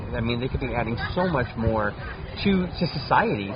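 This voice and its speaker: With crowd noise in the background, a man speaks at a fairly quick pace using lively intonation. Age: 50s. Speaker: cannabis chef and author. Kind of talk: casual chat.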